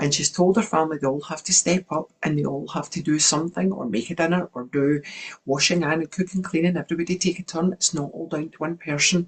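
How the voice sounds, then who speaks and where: A woman at a very fast pace and fairly low pitch, with ordinary pitch variation, big swings in loudness and noticeable background noise. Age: 60s. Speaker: wellness coach. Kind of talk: online workshop talk.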